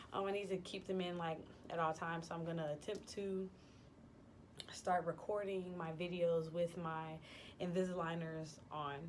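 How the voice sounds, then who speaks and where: With audible room echo around her, a woman speaks at a moderate pace in a fairly low pitch, her intonation monotone and flat and broken by long, frequent pauses. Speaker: vlogger. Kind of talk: casual vlog monologue. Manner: casual, many fillers (um, like).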